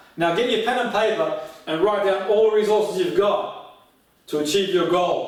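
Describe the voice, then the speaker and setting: A high-pitched man speaks at a moderate pace. Audible room echo and noticeable background noise surround his voice. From Australia, southern Italian migrant family. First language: Italian. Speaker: motivational coach. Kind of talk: seminar talk. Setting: live stream. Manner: animated.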